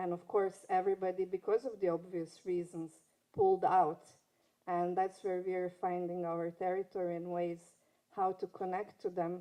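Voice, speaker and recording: A woman with a non-native accent speaks at a moderate pace and medium pitch. Her tone is dark and mellow, her intonation monotone and flat. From Serbia (Belgrade), former Yugoslavia. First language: Serbo-Croatian. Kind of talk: panel talk. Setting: conference stage with audience. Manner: halting.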